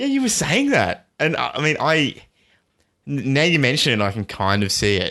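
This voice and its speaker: An Australian-accented man sounds animated, bright and sharp, with lively intonation. He keeps a moderate pace on a very clean recording with a silent background. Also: medium pitch for a man. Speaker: podcast co-host. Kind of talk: casual chat.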